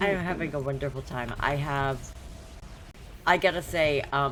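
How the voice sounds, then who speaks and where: Music plays in the background as a woman speaks at a moderate pace with lively intonation. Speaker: game server owner streamer. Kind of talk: casual chat.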